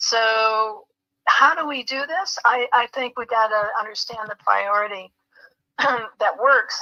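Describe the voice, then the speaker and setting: The speaker has an unremarkable speaking voice. The intonation stays fairly even. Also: woman. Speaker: spiritual talk show host. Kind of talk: spiritual teaching talk.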